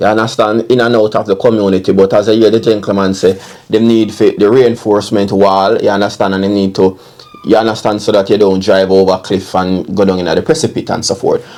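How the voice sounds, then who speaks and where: Speech comes at a very fast pace with a Jamaican accent and monotone, flat intonation. Noticeable background noise runs underneath. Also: man, fairly low pitch for a man. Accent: Jamaican Patois-inflected English. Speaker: online commentator. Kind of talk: casual commentary. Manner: repetitive filler 'you understand'.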